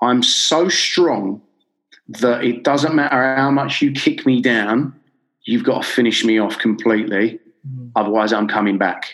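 A man with a London accent at a medium pitch, a fairly slow pace, ordinary pitch variation and very even loudness. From North London, Enfield. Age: 30s. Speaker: life coach and author. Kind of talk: interview storytelling.

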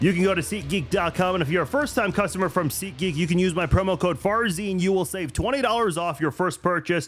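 With music in the background, a high-pitched man rushes along at a very fast pace with hardly any pauses and ordinary pitch variation. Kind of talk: live call-in sports show.

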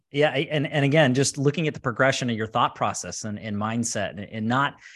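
A man at a fairly quick pace, an ordinary speaking voice with ordinary pitch variation, over a quiet background. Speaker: podcast host. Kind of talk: live interview.

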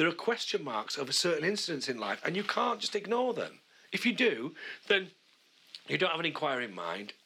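Over noticeable background noise, a man with a high pitch talks at a fairly quick pace, his pitch swinging very widely. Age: 50s. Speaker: podcast co-host. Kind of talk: casual chat. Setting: at home, in a small room.

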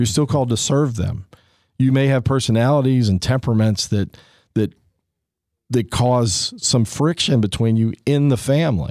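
The very clean recording with a silent background holds a man with an unremarkable speaking voice, medium pitch, ordinary pitch variation, very even loudness and a moderate pace. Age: 50s. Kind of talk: casual chat.

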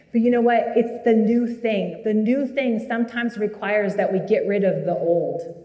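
Against noticeable background noise, a woman talks at a moderate pace with a fairly high pitch and fairly even intonation. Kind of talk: guided prayer. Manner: soft-spoken.

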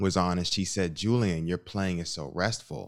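Recorded very cleanly against a silent background, a man speaks in a very deep, low pitch. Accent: American. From US, Chicago. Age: 30s. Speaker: musician and theologian. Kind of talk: interview conversation.

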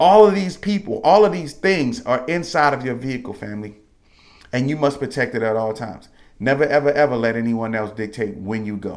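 Loud and animated, a man talks at a fairly quick pace. His medium-pitched voice moves in very wide pitch swings. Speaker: podcast host. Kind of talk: motivational monologue. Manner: loud, emphatic.

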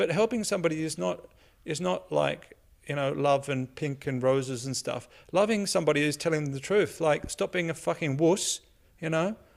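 A man with an Australian accent speaks at a fairly high pitch. His pace is moderate and his pitch varies in an ordinary way. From Australia, Sydney. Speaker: comedian. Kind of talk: casual chat.

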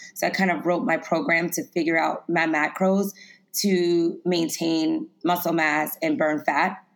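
A woman with an American accent and a plain, everyday voice speaks at a fairly slow pace and fairly low pitch, with ordinary pitch variation and very even loudness, on a very clean recording with a silent background. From US South, Lafayette, Louisiana. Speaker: personal trainer and plant-based chef. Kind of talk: interview.

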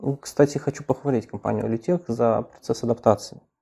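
A man's medium-pitched, dark and mellow voice at a fairly quick pace, with ordinary pitch variation. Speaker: software developer. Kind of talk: interview.

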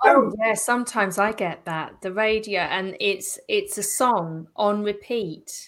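At a fairly slow pace with hardly any pauses, a woman uses an ordinary speaking voice of medium pitch and ordinary pitch variation. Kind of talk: casual interview.

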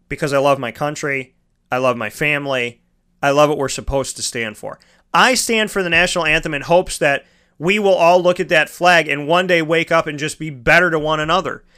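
A man speaks in a bright, sharp, animated tone. His pitch is fairly high and his pace fairly quick. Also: ordinary pitch variation. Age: 30s. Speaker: sports talk host. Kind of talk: online radio talk show monologue. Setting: studio.

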